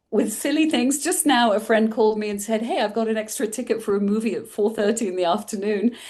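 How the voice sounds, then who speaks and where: Speaking very fast with a European accent, a woman barely pauses at all. Her voice sits fairly high, with ordinary pitch variation. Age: 60s. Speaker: mindful eating coach. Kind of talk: interview conversation.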